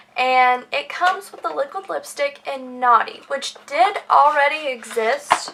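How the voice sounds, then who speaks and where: A woman uses a raised, projected voice at a high pitch with ordinary pitch variation. She speaks at a very slow pace over noticeable background noise. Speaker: beauty vlogger. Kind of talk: product haul review. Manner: animated.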